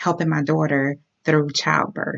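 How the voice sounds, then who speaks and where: A woman speaks at a moderate pace in a very deep, low voice. Her intonation stays monotone and flat. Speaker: health and transformation coach. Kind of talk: casual talk to camera. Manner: hesitant, stammering.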